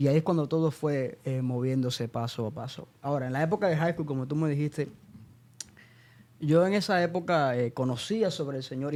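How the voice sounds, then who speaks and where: With an ordinary speaking voice, a man talks at a fairly quick pace in a fairly high pitch and ordinary pitch variation. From Cuba (Santa Clara, central Cuba) until 13. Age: 20s. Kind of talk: podcast interview.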